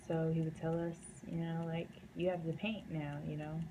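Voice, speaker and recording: A woman's fairly low, somewhat breathy voice at a moderate pace, with an American accent. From US South, North Carolina. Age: 20s. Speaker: painter. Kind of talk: casual vlog talk. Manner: casual, many fillers.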